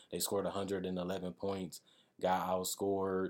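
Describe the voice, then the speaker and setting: A man with an American accent, very deep and low in pitch, monotone and flat, at a moderate pace, on a very clean recording with a silent background. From US Midwest, Milwaukee, Wisconsin. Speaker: YouTube basketball analyst. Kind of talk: solo sports analysis video.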